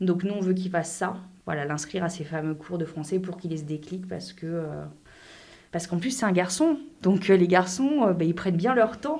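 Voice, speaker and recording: A woman speaks in an ordinary speaking voice at a moderate pace. Her pitch sits fairly low, with ordinary pitch variation. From France. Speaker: French expat in a binational couple. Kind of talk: interview.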